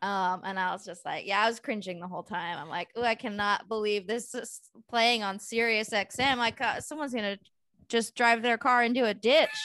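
A woman with a Californian accent talks at a fairly quick pace in a bright, sharp tone. Her pitch is fairly high with ordinary variation, and the background is quiet. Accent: Californian American. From San Francisco Bay Area. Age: 40s. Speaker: stand-up comedian. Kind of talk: casual chat.

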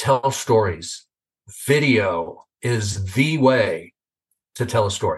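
This man speaks at a very slow pace with long, frequent pauses. His medium-pitched voice is somewhat breathy, with lively intonation. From Northern California. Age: 60s. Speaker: video testimonial business guest, marketer. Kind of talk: casual interview chat. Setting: video call.

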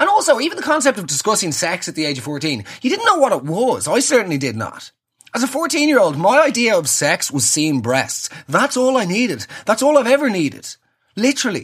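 Talking fairly quickly in an animated tone, a man with an Irish accent uses a high pitch and very wide pitch swings. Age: 30s. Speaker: comedy podcaster. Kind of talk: solo comedic monologue.

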